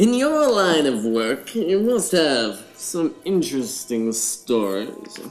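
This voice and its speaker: A man puts on a character voice at a fairly high pitch, speaking very slowly with hardly any pauses and very wide pitch swings over faint background music. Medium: audio drama.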